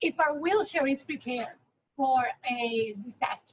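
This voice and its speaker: A woman speaks in a Puerto Rican accent at a fairly slow pace. Her pitch variation is ordinary. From Puerto Rico. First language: Spanish. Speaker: spinal cord injury advocate. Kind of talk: panel discussion.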